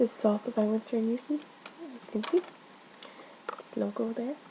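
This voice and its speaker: Soft-spoken, a woman talks at a fairly high pitch with fairly even intonation over noticeable background noise. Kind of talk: ASMR roleplay as an art shop assistant.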